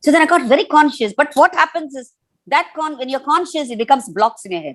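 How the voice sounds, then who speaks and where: Lively intonation marks speech that runs at a very fast speed. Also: woman, high pitch for a woman. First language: Tamil. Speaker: storyteller and author. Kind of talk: interview conversation. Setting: festival talk with audience questions. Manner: animated, expressive.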